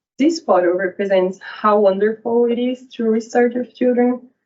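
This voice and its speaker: A woman with a Brazilian accent speaks fairly slowly at a fairly high pitch, her pitch varying in an ordinary way. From Brazil, São Paulo. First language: Portuguese. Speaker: PhD researcher. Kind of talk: academic talk.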